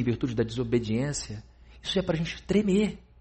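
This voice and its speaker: Lively intonation carries a fairly quick pace, with audible room echo around the voice. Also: man. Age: 40s. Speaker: pastor. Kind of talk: sermon.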